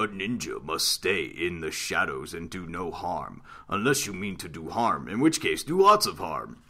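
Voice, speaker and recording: Putting on a character voice, a man talks at a moderate pace and a fairly low pitch. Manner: put-on character voice.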